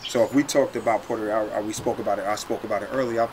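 Noticeable background noise surrounds a man with an American accent who speaks at a very fast pace. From New York. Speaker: former college basketball player; host or former teammate in round-table talk. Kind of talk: casual chat. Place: garden. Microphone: camera far.

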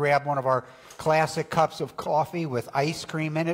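This is a man speaking. His intonation stays monotone and flat. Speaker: minister. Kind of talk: worship welcome announcements. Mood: warm, jovial. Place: church. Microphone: lapel.

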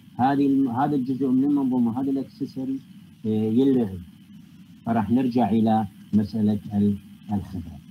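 A man with an Iraqi accent at medium pitch, dark and mellow in tone, fairly slow with long, frequent pauses and ordinary pitch variation. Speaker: university lecturer and researcher in physics. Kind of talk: academic lecture. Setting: online video call lecture. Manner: formal, explanatory, mixes English technical terms.

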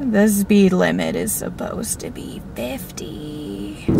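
Loud background noise runs through a dry sound that has no echo. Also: woman. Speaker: road-trip vlogger. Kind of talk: casual vlog chat. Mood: playful, chatty. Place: car. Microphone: phone near.

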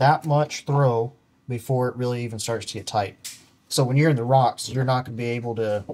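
A man delivers his words fairly quickly in a flat, monotone intonation. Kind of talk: tutorial. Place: garage.

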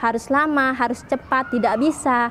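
Light background noise sits behind a woman speaking in a high pitch. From Indonesia, Tangerang; Indonesia. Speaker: convert sharing testimony. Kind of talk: testimony. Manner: casual with frequent fillers. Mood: lively, earnest, smiling at times. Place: church. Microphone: lapel.

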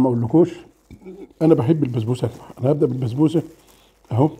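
Very fast and somewhat breathy, a man with an Egyptian accent speaks in a fairly high pitch with a dark, mellow tone and ordinary pitch variation. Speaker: food vlogger. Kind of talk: casual mukbang vlog. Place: home room. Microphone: camera far.

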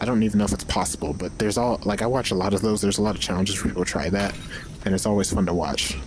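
Very fast speech from a man with a fairly low pitch, over noticeable background noise. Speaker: gaming video creator. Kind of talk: gameplay commentary. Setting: at home on camera. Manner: casual, profane.

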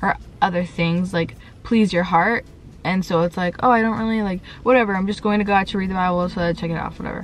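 Words come at a very fast pace, in a dry sound with no echo. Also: woman. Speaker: lifestyle vlogger. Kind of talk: casual vlog chat. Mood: reflective, a bit vulnerable. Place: car. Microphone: phone near.

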